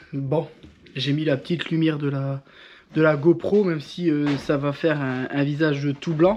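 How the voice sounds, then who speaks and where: Using a plain, everyday voice, a man holds a fairly high pitch with fairly even intonation. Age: 30s. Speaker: home renovation vlogger. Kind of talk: casual vlog narration.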